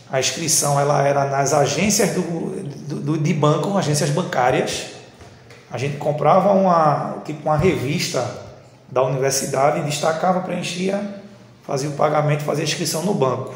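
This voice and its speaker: A man with a fairly high pitch talks at a moderate pace in a fairly even intonation, taking long, frequent pauses, with audible room echo and noticeable background noise. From Northeast Brazil, Recife. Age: 30s. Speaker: technical school teacher. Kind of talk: interview. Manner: casual.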